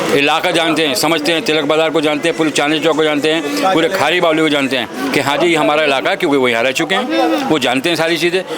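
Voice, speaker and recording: With music in the background and audible room echo, a man speaks at a fairly high pitch. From India, Delhi. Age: 60s. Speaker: local trader. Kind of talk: street interview. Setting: outdoors in a market lane. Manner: animated.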